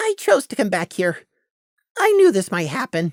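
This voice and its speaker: This is a put-on character voice. It has a fairly high pitch. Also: moderate pace. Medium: read story.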